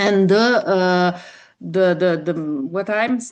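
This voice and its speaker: Very slowly, a woman speaks with an Italian accent at a medium pitch, with ordinary pitch variation. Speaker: yoga teacher. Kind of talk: online workshop talk. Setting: video call.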